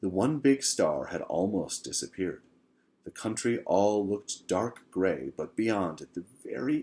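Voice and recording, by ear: Text is read aloud in a natural voice.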